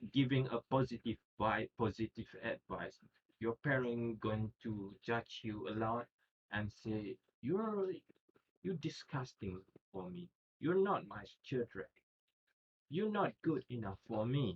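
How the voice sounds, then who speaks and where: A somewhat breathy man talks at a very slow pace. Long, frequent pauses break up his speech. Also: medium pitch for a man, lively intonation. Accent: non-native. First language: not English. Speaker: student. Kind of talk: class presentation. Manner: halting.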